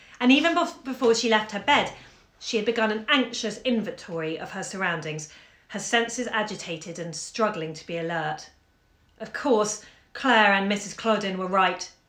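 There is audible room echo as a woman with a fairly high pitch speaks at a moderate pace. Her loudness swings a lot. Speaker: bookshop owner reading aloud. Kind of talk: literary audiobook reading, calm and intimate, from a 1954 short story. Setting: live video stream from home during lockdown. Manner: chatty and friendly in intro. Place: home room. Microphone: phone near.

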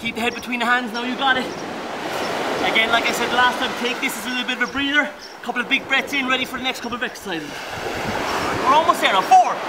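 Loud background noise sits behind a man's voice. He speaks at a very fast pace with ordinary pitch variation. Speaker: fitness instructor. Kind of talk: workout coaching. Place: beach.

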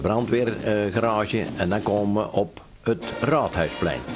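Someone with a North Brabant accent talks at a fairly slow pace while music plays in the background. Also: man. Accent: local North Brabant dialect. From Sprang-Capelle, North Brabant, Netherlands. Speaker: local history film narrator. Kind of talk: documentary commentary over an old film. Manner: casual, chatty.

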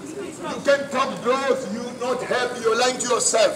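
A man speaks at an extremely high pitch. Noticeable background noise runs underneath. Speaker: street preacher. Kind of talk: street preaching. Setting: outdoors. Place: street. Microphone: camera far.

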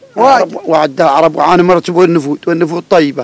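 The delivery is fairly quick, with very even loudness and a dry sound with no echo. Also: man. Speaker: guest. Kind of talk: interview answer. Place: open country. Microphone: handheld.

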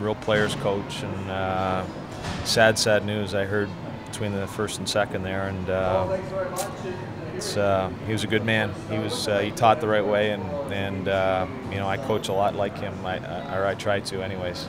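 The pace is moderate. Background music can be heard. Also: man. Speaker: team coach. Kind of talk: interview answer. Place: hall. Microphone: handheld.

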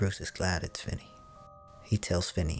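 Over background music, a man speaks at a moderate pace in a very deep, low, monotone, flat voice. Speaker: movie recap narrator. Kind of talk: movie recap narration. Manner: whispered, soft. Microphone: studio mic.

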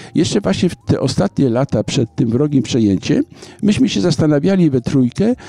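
A man with a dark, mellow tone, a Polish accent and very wide pitch swings. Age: 70s. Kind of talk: interview. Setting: outdoor business forum.

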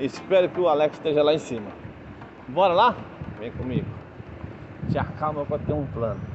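Noticeable background noise sits behind a moderately paced delivery with ordinary pitch variation. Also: man. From Brazil, Brasília. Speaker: truck driver vlogger. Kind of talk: casual vlog chat. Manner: animated; loud.

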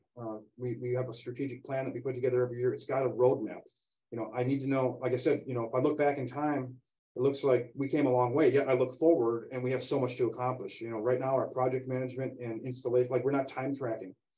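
The speaker is a man going at a very fast pace. His intonation stays monotone and flat. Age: 40s. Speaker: CEO of a graphics and branding company; guest. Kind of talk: interview. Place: home room. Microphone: video call.

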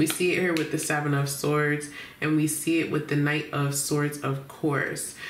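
A woman speaks at a moderate pace with a very deep, low pitch. The room echo is audible. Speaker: tarot reader. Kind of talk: tarot reading commentary. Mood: warm, relaxed, laughs. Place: home room.

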